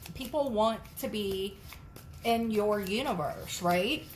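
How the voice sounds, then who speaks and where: Audible room echo surrounds a somewhat breathy woman of medium pitch who speaks with lively intonation. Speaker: tarot reader. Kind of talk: tarot reading to camera.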